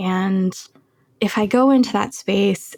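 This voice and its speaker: A woman with an American accent and a medium pitch speaks at a very slow pace, somewhat breathy, with fairly even intonation. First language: Chinese. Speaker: cancer biologist and poet. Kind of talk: interview conversation.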